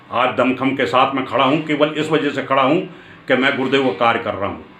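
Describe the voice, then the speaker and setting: Medium-pitched male speech carrying audible room echo. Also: ordinary pitch variation. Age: 70s. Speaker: spiritual teacher. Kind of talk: spiritual discourse.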